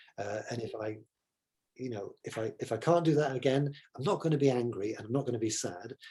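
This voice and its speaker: A man with a somewhat breathy voice, a dark, mellow tone and an English accent, at a fairly quick pace. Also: medium pitch for a man, ordinary pitch variation. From Nigeria, then England. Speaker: photographer. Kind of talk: casual interview. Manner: halting, many repetitions.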